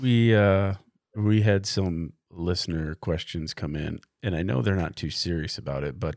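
Over a silent background in a very clean recording, a man speaks at a moderate pace with a very deep, low pitch and ordinary pitch variation. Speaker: podcast host. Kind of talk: casual chat. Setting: studio.

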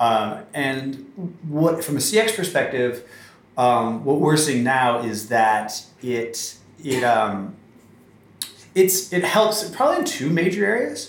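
A man talks very slowly, his pitch swinging very widely up and down. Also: fairly high pitch for a man. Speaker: marketing strategy director. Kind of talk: interview conversation.

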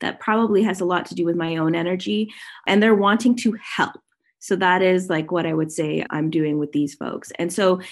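Against a quiet background, a woman with a Canadian accent speaks in an ordinary speaking voice at medium pitch with lively intonation. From Canada, Toronto. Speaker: digital marketing strategist and sales mentor. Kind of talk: podcast interview.

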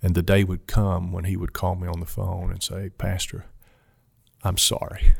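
In a Kentucky accent, a somewhat breathy voice speaks at a moderate pace with monotone, flat intonation and big swings in loudness on a very clean recording with a silent background. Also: man, very deep, low pitch for a man. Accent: Kentucky Southern US. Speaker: mission organization president and pastor. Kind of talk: interview conversation. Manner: halting, frequent fillers.

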